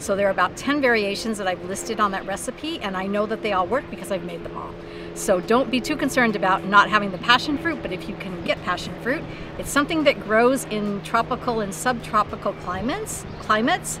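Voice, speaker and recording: With music in the background and a dry sound with no echo, a woman talks at a fairly quick pace with ordinary pitch variation. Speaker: cooking show host. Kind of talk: tutorial. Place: beach.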